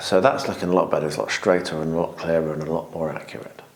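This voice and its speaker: A man with a British accent speaks amid noticeable background noise and audible room echo. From Britain. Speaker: hobby vlogger. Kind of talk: hobby tutorial vlog. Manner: quiet, soft-spoken.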